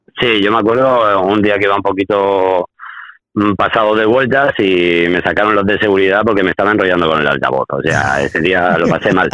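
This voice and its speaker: A man's fairly low voice at a fairly quick pace, with ordinary pitch variation over noticeable background noise. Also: very even loudness. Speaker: podcast co-host. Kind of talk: casual chat. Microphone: poor connection, weak signal.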